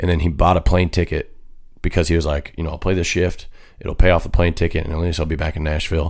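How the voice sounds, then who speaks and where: This man has an American accent. His voice is very deep and low in pitch. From US Great Plains (Kansas). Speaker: country singer. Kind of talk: casual chat.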